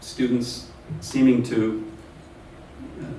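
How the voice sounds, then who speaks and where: Amid noticeable background noise and audible room echo, the voice moves at a fairly slow pace with ordinary pitch variation. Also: man. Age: 50s. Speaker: professor. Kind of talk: lecture.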